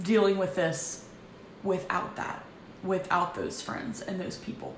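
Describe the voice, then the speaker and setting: Over noticeable background noise and audible room echo, a woman talks at a moderate pace in a flat, monotone way. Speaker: vlogger. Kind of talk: personal testimony. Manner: loud; halting.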